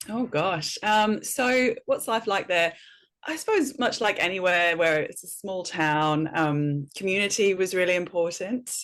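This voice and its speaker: In a very clean recording with a silent background, a woman with a slight Welsh accent talks fairly slowly at medium pitch with lively intonation. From north Wales. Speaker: educator and speaker. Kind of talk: podcast interview.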